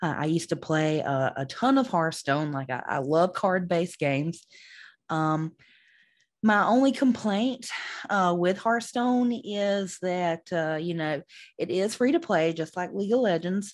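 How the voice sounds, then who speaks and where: Against a quiet background, a woman with a Southern US accent speaks fairly slowly at a fairly low pitch, her intonation lively. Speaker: esports podcast host. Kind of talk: podcast monologue. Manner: many fillers and hesitations.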